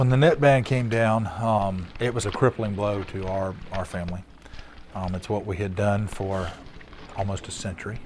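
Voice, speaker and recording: A man with an American accent speaks at a fairly low pitch and a moderate pace, with ordinary pitch variation. Noticeable background noise is present. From Florida, Sebastian. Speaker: former net fisherman. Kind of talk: documentary interview.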